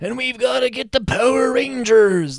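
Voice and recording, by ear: A man uses a put-on character voice that is raspy and high-pitched for a man, speaking at a moderate pace.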